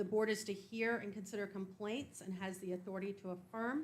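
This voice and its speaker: A woman with a somewhat breathy voice talks at a moderate pace, her pitch medium and her intonation fairly even. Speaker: county board chair presenting report. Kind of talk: formal report at public meeting. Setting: county board meeting.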